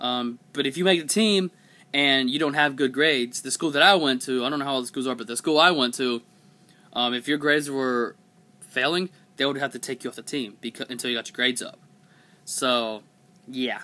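Fairly quick and bright with a sharp tone, a man talks. His pitch variation is ordinary. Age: 20s. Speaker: vlogger. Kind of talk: casual vlog monologue. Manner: hesitant, many fillers. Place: home room. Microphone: webcam.

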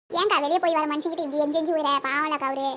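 In a put-on, squeaky character voice, a woman speaks high-pitched at a very fast pace with very even loudness over clear background noise. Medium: cartoon. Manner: gentle, conciliatory.

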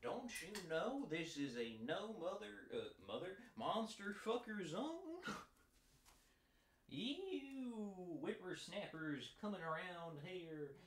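Delivered in a put-on character voice at a middle pitch, the speech comes at a fairly slow pace with long, frequent pauses and audible echo. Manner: exaggerated, comic.

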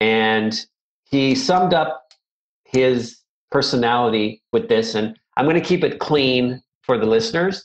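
Here a man speaks at a medium pitch and a fairly slow pace. His loudness swings widely. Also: ordinary pitch variation. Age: 50s. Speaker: martial arts instructor. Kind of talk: interview conversation. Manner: halting, many fillers.

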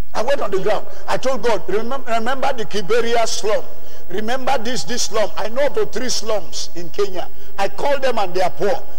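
Over light background noise, a man speaks in a high voice. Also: ordinary pitch variation. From Nigeria. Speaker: preacher. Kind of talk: sermon. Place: church. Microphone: handheld.

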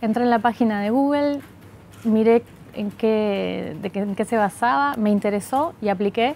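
A woman speaking at a fairly slow pace with ordinary pitch variation, dry sound with no echo, and light background noise. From Argentina, Buenos Aires (born in Montevideo, moved at seven); Buenos Aires. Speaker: tech company manager, economist; interviewee. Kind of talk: interview. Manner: hesitant, many fillers. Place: office. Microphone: lapel.

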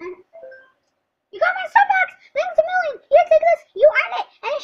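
The speaker puts on a cheerful character voice at an extremely high pitch, moving at a fairly slow pace with very wide pitch swings. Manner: cartoonish, cheerful.

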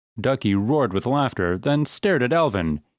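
Intonation in this natural reading voice is lively.

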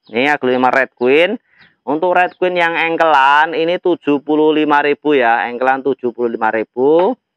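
Against a quiet background with a dry sound and no echo, a man with a fairly high pitch speaks at a fairly slow pace with ordinary pitch variation. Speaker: plant seller. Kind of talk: street-market style sales pitch, reeling off plant names and prices. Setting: video recorded at plant nursery. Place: garden. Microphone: phone near.

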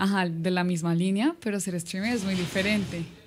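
A woman speaks at a moderate pace with fairly even intonation and a medium pitch. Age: 20s. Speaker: streamer's girlfriend, social media creator. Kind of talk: casual livestream chat. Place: home room. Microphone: studio mic.

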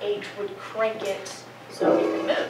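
Loud background noise fills the clip. A woman speaks with ordinary pitch variation. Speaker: presenter. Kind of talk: class presentation. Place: classroom. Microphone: camera far.

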